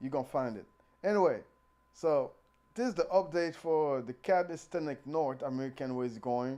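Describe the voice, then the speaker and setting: A man with a non-native accent speaks at a fairly high pitch, with a dark, mellow tone. His pace is moderate, his pitch variation ordinary, and the background quiet. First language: not English. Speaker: calisthenics youtuber. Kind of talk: casual vlog commentary. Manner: halting, repeats words.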